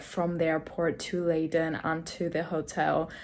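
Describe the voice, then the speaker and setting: Monotone and flat in intonation, a woman with a fairly low pitch speaks at a moderate pace. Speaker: vlogger. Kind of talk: casual vlog chat. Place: home room. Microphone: phone near.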